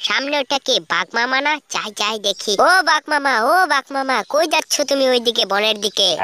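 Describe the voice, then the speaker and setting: Heard dry and close with no echo, a woman does a cartoonish character voice at a high pitch, with lively intonation and a moderate pace. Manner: wheedling.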